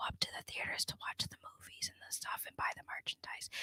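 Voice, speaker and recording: A woman whispers at a moderate pace. The recording is dry and close, with no echo. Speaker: pop culture podcast co-host. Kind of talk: casual chat.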